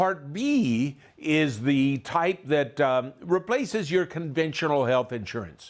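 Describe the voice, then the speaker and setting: On a very clean recording with a silent background, a man with an American accent uses an ordinary speaking voice, fairly high in pitch, with lively intonation. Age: 60s. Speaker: tax and retirement educator. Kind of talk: lecture.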